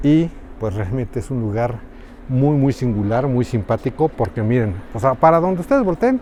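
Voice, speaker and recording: Intonation here is lively, set in a dark, mellow tone. Speech proceeds at a moderate speed. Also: man, medium pitch for a man. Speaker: travel vlogger, reporter. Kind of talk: travel vlog narration. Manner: speaking quietly; animated.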